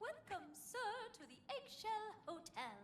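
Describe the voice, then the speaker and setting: Clear background noise accompanies a put-on character voice pitched extremely high. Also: moderate pace. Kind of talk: polite, customer-service.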